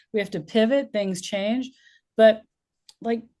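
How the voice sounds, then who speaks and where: A woman speaks with a dark, mellow tone at a moderate pace. The background is quiet. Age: 60s. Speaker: community leader and interviewer. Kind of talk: casual interview chat.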